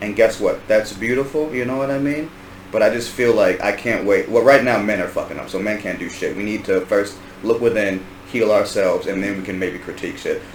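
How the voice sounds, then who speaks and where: A man with an American accent at a fairly quick pace, amid audible room echo and noticeable background noise. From Washington DC area. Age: 30s. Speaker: podcast host. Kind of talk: casual chat. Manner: animated.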